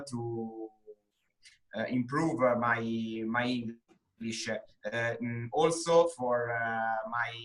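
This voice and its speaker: With an Italian accent, a man speaks at a very slow pace in a medium pitch, keeping his intonation fairly even. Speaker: English student, bank employee. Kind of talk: interview. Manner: halting, many fillers.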